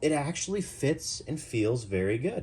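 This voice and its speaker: A man's somewhat breathy voice with an American accent and very wide pitch swings, on a very clean recording with a silent background. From US Midwest. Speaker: knife reviewer. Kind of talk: product review. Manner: casual, chatty.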